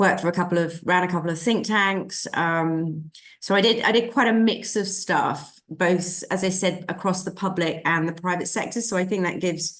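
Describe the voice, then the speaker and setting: A woman with a British accent and medium pitch speaks at a moderate pace. Her intonation is fairly even, with hardly any pauses. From UK. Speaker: sustainable finance consultant. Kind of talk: interview. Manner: halting.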